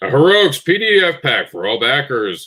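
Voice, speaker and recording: A man uses a put-on character voice at a fairly high pitch. He speaks at a moderate pace, with very wide pitch swings. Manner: announcer voice.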